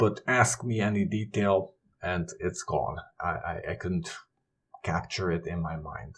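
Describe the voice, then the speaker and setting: With a non-native accent, a man speaks in a very deep, low voice. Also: ordinary pitch variation, fairly slow pace. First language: not English. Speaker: YouTuber on knowledge management. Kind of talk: tutorial.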